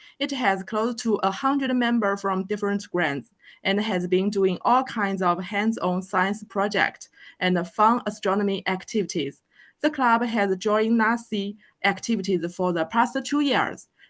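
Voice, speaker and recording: Speech comes at a moderate pace in a Chinese accent, with ordinary pitch variation. The background is quiet. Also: woman, medium pitch for a woman. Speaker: planetarium educator. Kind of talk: speaker introduction. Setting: video call.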